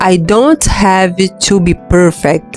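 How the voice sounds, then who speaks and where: A woman with a non-native accent at a very slow pace, with music in the background. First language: non-native English speaker. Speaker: English learner podcaster. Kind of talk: motivational reading for English practice. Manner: slow, with repetitions.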